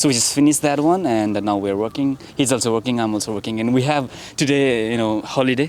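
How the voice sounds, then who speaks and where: Very fast speech from a man with a Nepali accent and ordinary pitch variation. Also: medium pitch for a man. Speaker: vlogger. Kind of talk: casual street interview chat. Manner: halting, many fillers.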